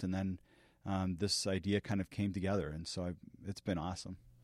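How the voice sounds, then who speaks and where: A man speaks at a fairly quick pace with a very deep, low pitch and monotone, flat intonation. The recording is very clean, with a silent background and a dry, close sound with no echo. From Latin America (American family abroad). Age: 40s. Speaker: company founder and CEO. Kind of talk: podcast interview. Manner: frequent fillers (uh, um), some repetitions.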